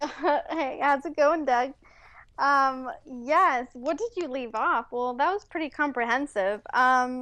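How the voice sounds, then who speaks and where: A woman speaks in a raised, projected voice with a bright, sharp tone and high pitch, at a very slow pace with ordinary pitch variation. The background is quiet. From Mexico City, raised in San Francisco Bay Area from age 8. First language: Spanish. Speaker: entrepreneur and wellness coach. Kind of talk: interview.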